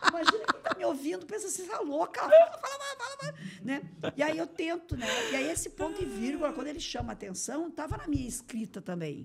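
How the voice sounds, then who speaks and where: Through noticeable background noise, a woman with a high voice talks at a very fast pace, with very wide pitch swings and big swings in loudness. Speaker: municipal innovation secretary. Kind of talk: interview. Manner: run-on, without pauses.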